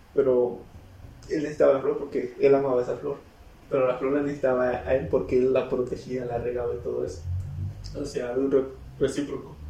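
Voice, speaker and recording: Audible room echo follows a man who speaks at a fairly quick pace broken by long, frequent pauses. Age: 20s. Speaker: podcast co-host. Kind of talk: casual chat.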